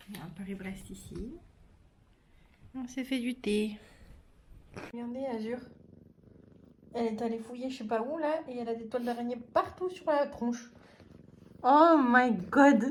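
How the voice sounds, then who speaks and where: A woman speaks at a fairly slow pace in a high pitch, her loudness swinging widely and her speech broken by long, frequent pauses. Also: ordinary pitch variation. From French Mediterranean coast. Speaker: lifestyle vlogger. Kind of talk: casual vlog chat. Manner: soft-spoken.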